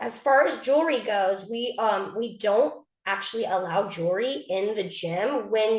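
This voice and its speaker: Medium pitch from a woman. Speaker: cheer program director. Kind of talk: informational parent meeting presentation. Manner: fast.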